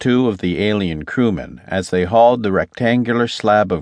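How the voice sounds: A natural reading voice moves with ordinary pitch variation.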